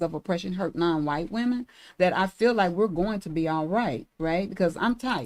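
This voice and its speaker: A woman talks at a fairly quick pace in an ordinary speaking voice. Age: 60s. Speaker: reproductive justice advocate. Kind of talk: podcast conversation.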